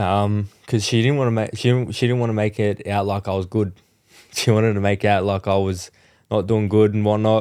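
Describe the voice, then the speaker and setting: Fairly quick and monotone, a man with an Australian accent talks in a fairly low pitch with a dark, mellow tone. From Central Coast, Australia. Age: 20s. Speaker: motorbike accident survivor, motivational speaker. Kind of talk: interview answer. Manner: casual, candid.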